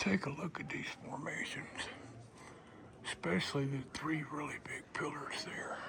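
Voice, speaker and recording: Someone whispers at a fairly slow pace, with long, frequent pauses. Background noise is noticeable. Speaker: travel vlogger. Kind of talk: travel vlog narration. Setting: inside a cave.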